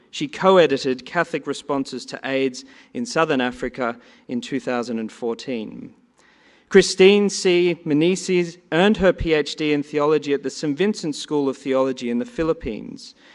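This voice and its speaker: In a quiet background, a man with an Australian accent talks at a moderate pace, his fairly high pitch carried by lively intonation. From Australia, Sydney. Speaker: conference panel moderator. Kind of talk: panel introductions. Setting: conference hall with audience.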